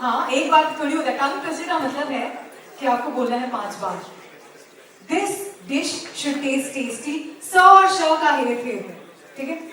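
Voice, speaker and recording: Over noticeable background noise, a woman speaks in a high, raised and projected voice with an energetic, upbeat tone and lively intonation. She leaves long, frequent pauses. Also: moderate pace. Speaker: event emcee / anchor. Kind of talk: playful audience game hosting in Hindi-English mix. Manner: energetic, upbeat, crowd-engaging.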